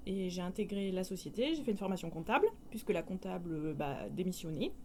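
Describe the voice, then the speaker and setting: Speaking at a fairly quick pace, a woman uses a medium pitch with ordinary pitch variation and a dark, mellow tone. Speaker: company accountant. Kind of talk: interview. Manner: hesitant.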